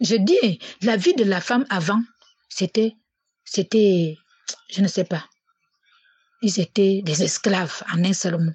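A woman speaks very slowly at a medium pitch, her somewhat breathy voice showing ordinary pitch variation and broken by long, frequent pauses. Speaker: student's mother. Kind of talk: interview. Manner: halting.

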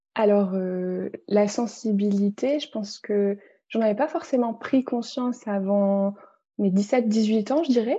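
Very slow and somewhat breathy, a woman speaks in a fairly high pitch with a dark, mellow tone and ordinary pitch variation. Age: 20s. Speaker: energy healer and author. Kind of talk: interview. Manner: halting.

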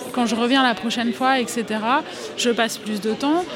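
A high-pitched woman's voice at a moderate pace, with ordinary pitch variation and noticeable background noise. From France, small town in the region around Lyon. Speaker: journalist. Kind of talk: panel discussion. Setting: live recording at a journalism festival. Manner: halting, many hesitations.

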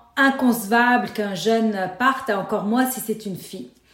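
A woman speaks at a moderate pace with fairly even intonation. Noticeable background noise sits behind her. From Lebanon (Beirut). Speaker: nonprofit founder and board director. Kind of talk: interview.

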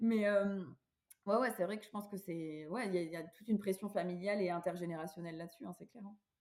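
A woman at medium pitch, very fast pace, fairly even intonation and big swings in loudness. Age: 30s. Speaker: childfree activist and author. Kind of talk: casual chat.

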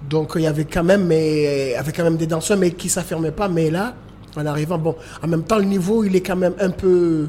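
A man speaks with a high pitch and fairly even intonation at a fairly quick pace. Noticeable background noise is present. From Comoros (Grande Comore, Moroni). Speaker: choreographer and dancer. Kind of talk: interview testimony. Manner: halting.

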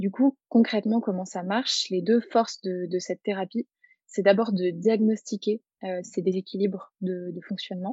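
Somewhat breathy speech comes at a moderate pace with fairly even intonation. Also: woman, medium pitch for a woman. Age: 20s. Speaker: therapist. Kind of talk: interview.

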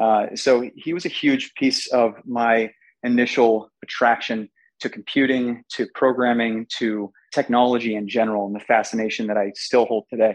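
With an American accent and an unremarkable speaking voice, a man talks at a moderate pace and medium pitch with fairly even intonation, recorded dry and close with no echo against a quiet background. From Southern California, US. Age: 30s. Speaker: finance partner and former military. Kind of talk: casual interview.

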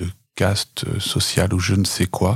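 The speaker is a man. He talks with a very deep, low pitch. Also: dry, close sound with no echo. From France, Haute-Loire (rural Auvergne). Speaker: co-founder of shared housing for elderly people. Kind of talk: casual interview. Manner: talkative, hesitant with fillers.

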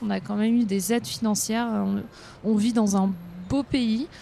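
Her voice is medium-pitched, somewhat breathy and dark, mellow in tone. This woman speaks at a moderate pace with ordinary pitch variation. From northern France. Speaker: content creator and café co-founder. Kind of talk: casual interview. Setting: outdoors in a small street.

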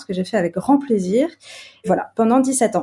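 Her voice sits at a fairly high pitch for a woman, with a dark, mellow tone and ordinary pitch variation. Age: 40s. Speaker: chocolate company CEO. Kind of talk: casual interview.

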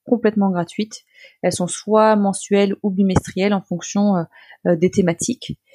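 A dark, mellow tone with fairly even intonation at a moderate pace. The sound is dry and close with no echo, recorded very cleanly over a silent background. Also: woman. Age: 30s. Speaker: nonprofit director. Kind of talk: interview. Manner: hesitant, many fillers.

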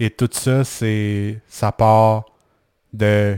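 In a Quebec accent, a man talks at a fairly low pitch with monotone, flat intonation, his dry, close sound carrying no echo on a very clean recording with a silent background. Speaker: life coach and podcaster. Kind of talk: personal monologue podcast. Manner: halting, with repetitions.

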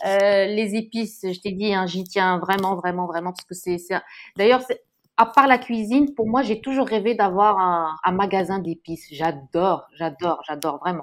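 A woman talks in a normal speaking voice, medium in pitch with ordinary variation, at a moderate pace. The recording is very clean with a silent background. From Morocco, Casablanca. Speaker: chef and TV presenter. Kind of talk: interview.

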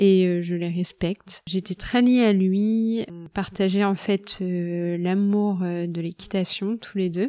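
A woman's medium-pitched voice has a dark, mellow tone and monotone, flat intonation. The background is quiet. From central France, Loir-et-Cher. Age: 30s. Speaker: nurse. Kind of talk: casual chat.

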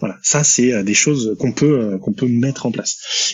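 A man speaks at a medium pitch. Noticeable background noise runs underneath. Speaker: entrepreneur. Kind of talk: podcast interview. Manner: talkative.

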